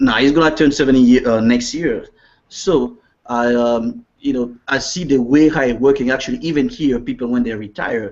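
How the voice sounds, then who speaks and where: This man speaks with a Central African accent and ordinary pitch variation. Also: medium pitch for a man, moderate pace. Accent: French-speaking Central African. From Congo, Central Africa. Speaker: network marketing distributor. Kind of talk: interview. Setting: video call.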